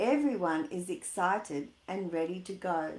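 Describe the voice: Audible room echo surrounds a woman whose slightly mellow tone carries lively intonation. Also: fairly low pitch for a woman, fairly slow pace.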